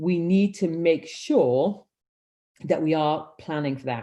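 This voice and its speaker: Speaking with a Welsh accent, a woman has a very deep, low pitch and ordinary pitch variation. She talks at a fairly slow pace against a quiet background. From Wales. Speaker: humanitarian leadership consultant. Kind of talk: webinar presentation. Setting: video call.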